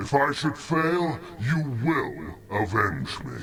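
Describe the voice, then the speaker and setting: A man speaks in a put-on character voice at a fairly high pitch. His pace is very slow, and background noise is clearly heard. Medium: video game. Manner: solemn, grave.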